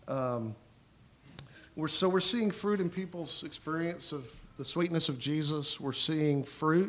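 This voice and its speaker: This man's pitch is fairly high and moves in an ordinary way. He speaks at a very slow pace. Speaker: pastor. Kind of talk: church talk. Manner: loud.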